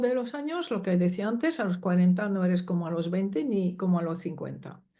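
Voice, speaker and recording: A woman at medium pitch, with a dark, mellow tone, lively intonation, and audible room echo. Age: 70s. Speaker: psychologist and family constellations teacher. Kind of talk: interview.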